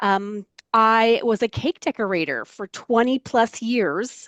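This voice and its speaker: With an American accent, a woman speaks in an unremarkable speaking voice of medium pitch with ordinary pitch variation over a quiet background. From US South, Florida (Largo, Pinellas County). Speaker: environmental outreach assistant. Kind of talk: interview, personal story. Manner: conversational, with many fillers.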